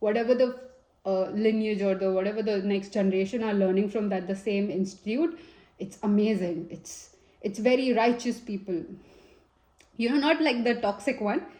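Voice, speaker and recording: A woman with an Indian accent has a dark, mellow tone, medium pitch, lively intonation and a moderate pace. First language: Hindi. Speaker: tarot reader. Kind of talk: tarot reading. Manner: casual and chatty with fillers.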